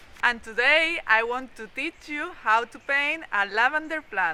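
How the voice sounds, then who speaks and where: With a strong non-native accent, a woman speaks in a raised, projected voice at a fairly slow pace, her pitch swinging very widely. Noticeable background noise runs underneath. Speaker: watercolor artist. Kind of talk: art tutorial talk to camera.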